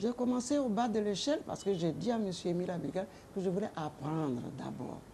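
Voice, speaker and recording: A woman talks at a fairly quick pace in a dark, mellow tone with vocal fry. Her pitch swings very widely. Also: medium pitch for a woman. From Ivory Coast, Oumé. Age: 80s+. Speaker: retired politician and businesswoman. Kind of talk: interview testimony.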